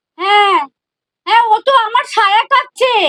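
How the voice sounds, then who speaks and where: A woman puts on a squeaky character voice at an extremely high pitch. Her pitch varies in an ordinary way. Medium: comedy sketch. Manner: commanding, sharp.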